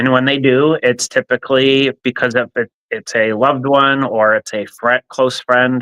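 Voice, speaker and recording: A man with an American accent speaks at a moderate pace in a bright, sharp tone, with medium pitch, fairly even intonation and a dry, close sound with no echo. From New Jersey, central (Middlesex). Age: 60s. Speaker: nonprofit leader and kidney donor. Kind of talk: interview testimony. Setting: live stream.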